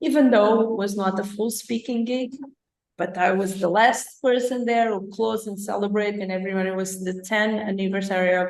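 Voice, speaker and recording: A woman in a Portuguese accent speaks at a moderate pace and medium pitch. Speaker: life coach. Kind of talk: live interview show. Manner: animated.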